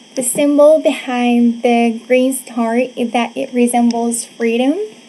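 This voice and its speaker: Noticeable background noise surrounds a woman with a high-pitched voice. She speaks at a fairly slow pace in a monotone, flat intonation. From Morocco, Casablanca. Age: 20s. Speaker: presenter, teacher. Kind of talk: presentation.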